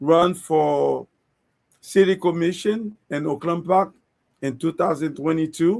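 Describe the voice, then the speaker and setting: A man speaks with a high pitch. His pitch varies in an ordinary way. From Haiti. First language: Haitian Creole or French. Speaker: political candidate. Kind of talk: interview. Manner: halting.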